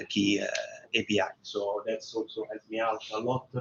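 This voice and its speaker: A man in a strong Roman accent, monotone and flat in intonation. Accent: strong Roman Italian. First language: Italian. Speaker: tech demo presenter. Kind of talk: live tech demo. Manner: halting, many fillers.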